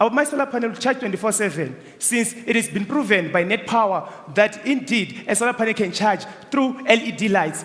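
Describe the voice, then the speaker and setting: A man's fairly quick, high-pitched voice with a non-native accent over noticeable background noise. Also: ordinary pitch variation. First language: not English. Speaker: student business pitcher. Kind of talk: business pitch and Q&A.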